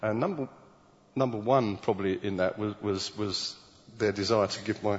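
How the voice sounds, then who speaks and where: With a British accent, a man speaks at a moderate pace and fairly low pitch. His pitch varies in an ordinary way. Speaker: preacher. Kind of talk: sermon. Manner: halting, with many repeated words.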